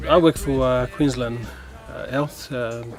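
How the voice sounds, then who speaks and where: Over music in the background, a man talks at a moderate pace, his medium pitch held to fairly even intonation. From Torres Strait Islands, Murray Island. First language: Torres Strait Creole and Meriam. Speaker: health worker and artist. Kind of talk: personal interview testimony. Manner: halting, many fillers and repetitions.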